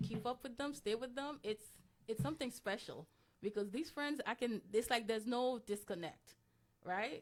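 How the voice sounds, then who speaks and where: This woman talks at a moderate pace with a slight Haitian accent and lively intonation. Her pitch is fairly high. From Haiti, moved to US at nine. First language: Haitian Creole. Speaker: interview guest. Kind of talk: interview. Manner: hesitant, many fillers.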